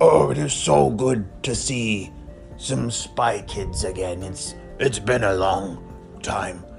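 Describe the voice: Putting on a raspy character voice with very deep, low pitch, a man speaks very slowly with long, frequent pauses over clear music in the background.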